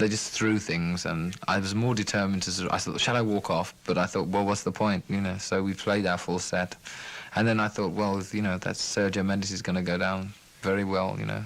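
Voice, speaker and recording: Against noticeable background noise, a man talks at a fairly quick pace with a fairly low pitch and monotone, flat intonation. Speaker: musician. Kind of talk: interview answer. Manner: soft-spoken, calming.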